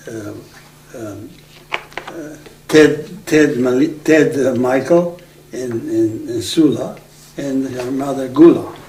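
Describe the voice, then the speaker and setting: Spoken in a Macedonian accent, the voice moves at a very slow pace with long, frequent pauses, ordinary pitch variation and big swings in loudness. Audible room echo and noticeable background noise surround it. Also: man, fairly high pitch for a man. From Aegean Macedonia, northern Greece. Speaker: oral history interviewee. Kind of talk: oral history interview. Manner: halting.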